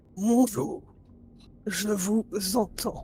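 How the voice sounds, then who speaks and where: The speaker uses a put-on character voice pitched fairly high. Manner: halting, difficulty articulating words.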